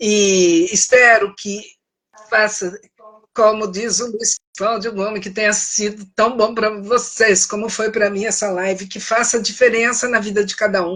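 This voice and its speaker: Speaking at a fairly slow pace, a woman with a fairly high pitch keeps a monotone, flat intonation while her loudness swings widely. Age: 70s. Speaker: author and speaker on self-esteem. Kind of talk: live stream conversation. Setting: Instagram live.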